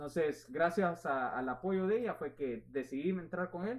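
A man talks in a plain, everyday voice at a fairly high pitch. His pace is fairly slow and his intonation lively. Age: 20s. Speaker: real estate agent. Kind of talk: interview.

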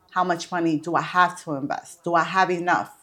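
A woman with fairly low pitch at a moderate pace, in an unremarkable speaking voice. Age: 30s. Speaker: florist and event planner. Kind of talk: casual interview.

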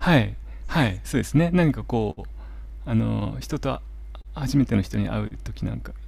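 The man keeps a moderate pace but leaves long, frequent pauses. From Japan, Miyagi. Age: 40s. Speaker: holistic therapist. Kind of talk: interview. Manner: soothing, calm.

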